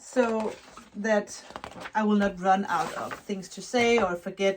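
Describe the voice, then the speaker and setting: The speaker has a non-native accent and a monotone, flat intonation at a very slow pace. Noticeable background noise runs underneath. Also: woman, medium pitch for a woman, big swings in loudness. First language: not English. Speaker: knitwear designer and yarn dyer vlogger. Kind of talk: casual vlog. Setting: at home. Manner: halting.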